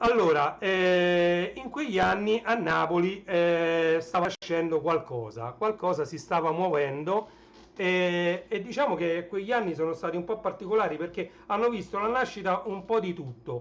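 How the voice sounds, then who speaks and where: This man's voice is high-pitched and loud. He speaks at a moderate pace. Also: ordinary pitch variation. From Naples, southern Italy. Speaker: livestreamer, retro tech collector. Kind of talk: casual livestream chat. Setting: live stream.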